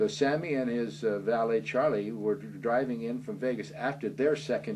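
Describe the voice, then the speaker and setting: A man with an American accent and vocal fry at medium pitch, at a fairly slow pace. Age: 70s. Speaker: author. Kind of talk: interview. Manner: halting.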